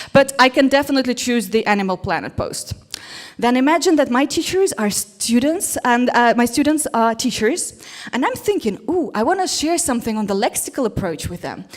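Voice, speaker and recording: A woman speaks at a fairly quick pace in a Russian accent, her high pitch swinging very widely. Noticeable background noise sits behind her. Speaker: English teacher. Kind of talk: conference talk. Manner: animated.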